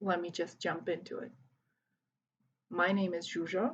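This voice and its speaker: Her pace is very slow. The woman sounds somewhat breathy. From Hungary, Budapest. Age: 30s. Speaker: volunteer English teacher. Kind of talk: video self-introduction to students.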